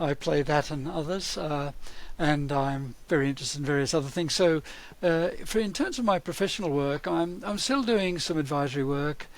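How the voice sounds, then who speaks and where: This man's voice sits fairly high as he goes along at a moderate pace. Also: ordinary pitch variation. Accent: Australian. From Australia. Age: 70s. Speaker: learning and development consultant. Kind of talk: podcast interview.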